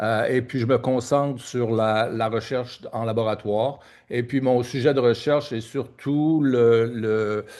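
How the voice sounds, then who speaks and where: Over a quiet background, a man with a Quebec accent speaks very slowly at a medium pitch with fairly even intonation. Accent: Québécois French. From Quebec (Trois-Rivières). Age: 60s. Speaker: oncologist and research network executive director. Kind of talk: conference speech. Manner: halting, many hesitations and repetitions.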